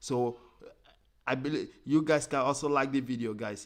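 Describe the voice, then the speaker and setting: A man with an African accent against a quiet background. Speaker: football fan channel host. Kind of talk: live stream commentary. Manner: halting, repetitive.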